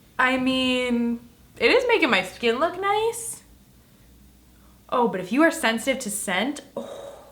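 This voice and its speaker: Over noticeable background noise, a woman with a high pitch talks at a fairly slow pace, leaving long, frequent pauses. Her tone is animated, with very wide pitch swings. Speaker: beauty YouTuber. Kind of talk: makeup tutorial vlog.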